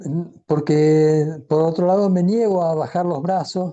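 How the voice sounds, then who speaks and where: A man's high-pitched voice with a dark, mellow tone at a very slow pace. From Argentina. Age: 70s. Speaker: audience participant. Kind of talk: personal comment in discussion.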